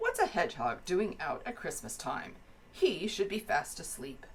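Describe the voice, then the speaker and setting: A woman's put-on character voice, gruff and growling, at medium pitch and a moderate pace, with light background noise. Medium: read story. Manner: gruff, growly.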